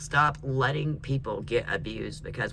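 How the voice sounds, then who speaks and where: A man in an American accent speaks at a moderate pace in an animated tone, with noticeable background noise and audible room echo. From US, mixed North and South. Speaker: tarot reader. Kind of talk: tarot reading.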